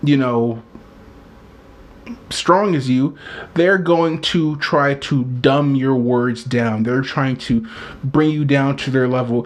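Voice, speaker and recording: Long pauses come often in this very slow delivery, and the pitch varies in an ordinary way. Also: man, medium pitch for a man. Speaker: video blogger. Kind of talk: casual monologue. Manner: animated.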